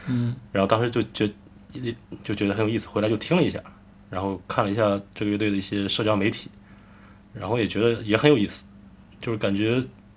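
A man with a fairly low pitch and fairly even intonation, talking at a very fast pace broken by long, frequent pauses. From Shandong, Jining. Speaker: rock band lead singer. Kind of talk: casual chat.

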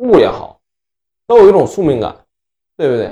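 A high-pitched man at a fairly quick pace, dark and mellow in tone. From Northeast China (Inner Mongolia part). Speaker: podcast co-host. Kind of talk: casual chat.

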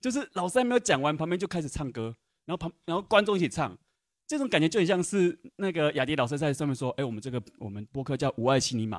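A man talks at a very fast pace with a fairly high pitch and very wide pitch swings. The sound is dry and close, with no echo. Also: very clean recording, silent background. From Taiwan. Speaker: audience member. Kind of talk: audience comment. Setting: cinema with live audience.

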